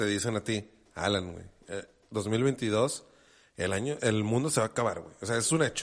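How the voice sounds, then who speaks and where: Someone with a Mexican accent talks at a moderate pace, with ordinary pitch variation, big swings in loudness and long, frequent pauses. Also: man, fairly low pitch for a man. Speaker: podcast co-host. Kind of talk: casual chat.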